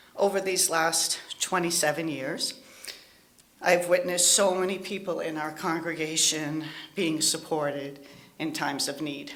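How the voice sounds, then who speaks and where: A woman's fairly low voice at a fairly slow pace, with ordinary pitch variation, audible room echo and noticeable background noise. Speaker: lay minister, congregation member. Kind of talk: testimony.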